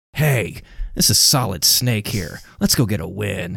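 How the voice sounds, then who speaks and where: A man puts on a character voice with a fairly low pitch. His intonation is lively and his pace fairly slow. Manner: motivational, gruff.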